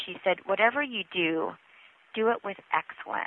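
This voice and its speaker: This is a woman speaking. She talks with a Northwestern US accent. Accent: American, US Northwest. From Washington State, US (immigrated from the Philippines at 5). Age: 30s. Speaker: author and former TV news reporter. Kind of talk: interview.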